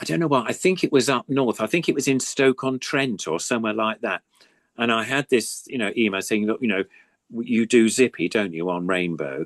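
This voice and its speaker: A man in an English accent, with lively intonation at a moderate pace and a dry, close sound with no echo. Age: 70s. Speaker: puppeteer. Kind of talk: casual chat.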